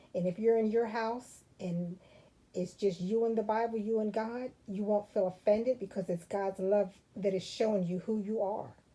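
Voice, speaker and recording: A woman talks at a moderate pace with a medium pitch. Her tone is dark and mellow, and her intonation stays fairly even. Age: 60s. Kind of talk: testimony.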